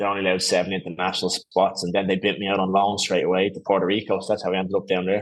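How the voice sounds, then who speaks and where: A man's very deep, low voice with an Irish accent, monotone and flat, at a very fast pace against a quiet background. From Ireland, Skerries (north County Dublin). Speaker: former professional footballer. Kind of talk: podcast interview. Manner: casual, hesitant with fillers.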